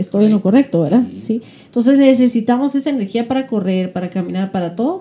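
A woman's lively intonation and fairly quick pace come through noticeable background noise. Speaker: web show host. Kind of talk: interview. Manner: fast.

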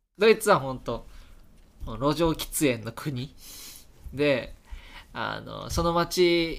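This man's voice sits fairly high, and his intonation is lively. He talks at a very slow pace with long, frequent pauses. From Hokkaido, Japan. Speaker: podcast host. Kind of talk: casual chat while drinking beer.

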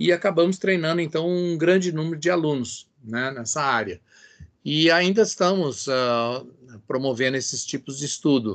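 A man talks at a moderate pace in an ordinary speaking voice against a quiet background. His pitch is fairly high and his intonation lively. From Brazil, São Paulo. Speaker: biology professor. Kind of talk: interview.

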